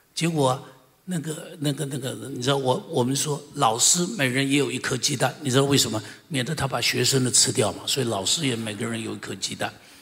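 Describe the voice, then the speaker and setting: A man's medium-pitched voice at a fairly quick pace, ordinary pitch variation, noticeable background noise behind it. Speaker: senior pastor. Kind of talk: testimony. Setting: church service.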